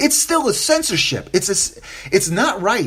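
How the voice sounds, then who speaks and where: The speaker talks at a moderate pace in an animated tone with very wide pitch swings. Noticeable background noise runs underneath. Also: man. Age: 40s. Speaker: podcast host. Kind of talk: solo podcast commentary.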